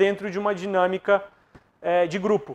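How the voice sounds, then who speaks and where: Moderate pace and fairly even intonation. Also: man. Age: 30s. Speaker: psychologist and coach; coach or presenter. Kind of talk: motivational talk. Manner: halting, with many fillers. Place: studio. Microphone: lapel.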